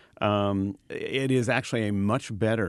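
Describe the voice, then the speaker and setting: Against a quiet background, a man with a fairly low pitch uses a normal speaking voice with fairly even intonation. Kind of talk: radio DJ patter: playful back-and-forth, then a dry, chatty history segment.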